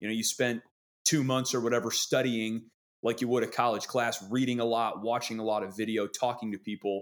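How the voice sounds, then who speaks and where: A man with an American accent talks at a fairly quick pace in a plain, everyday voice. His pitch is medium and his intonation fairly even. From Wisconsin. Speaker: sports broadcaster. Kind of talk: casual interview chat.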